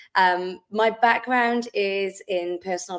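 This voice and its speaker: A woman speaks with a Welsh accent at a medium pitch. Her intonation stays fairly even. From South Wales. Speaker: wellness business owner. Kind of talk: podcast interview.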